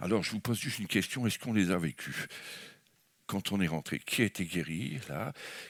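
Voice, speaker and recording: A man at a moderate pace, in a dry, close sound with no echo, on a very clean recording with a silent background. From France. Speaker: guest preacher. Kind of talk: sermon. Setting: church service. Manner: animated.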